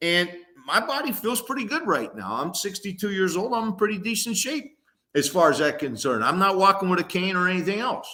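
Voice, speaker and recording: A man speaks at a moderate pace in a raised, projected voice. His pitch is high and his tone bright and sharp. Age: 60s. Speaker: former college football player. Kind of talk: casual sports talk.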